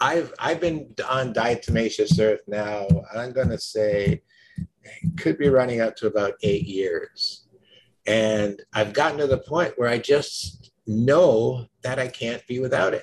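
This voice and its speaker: A man talks at a fairly slow pace, his somewhat breathy voice carrying lively intonation. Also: medium pitch for a man. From Jamaica. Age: 60s. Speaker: nutritionist and entrepreneur. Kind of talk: interview.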